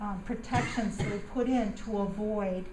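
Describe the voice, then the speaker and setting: A woman with an American accent speaks very slowly, with audible room echo and noticeable background noise. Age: 60s. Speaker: resident speaking at public comment. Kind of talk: public comment at township meeting. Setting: public meeting hall. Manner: halting, repetitive.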